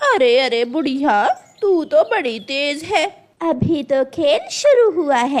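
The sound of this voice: A woman uses a cartoonish character voice pitched high. She speaks at a fairly slow pace.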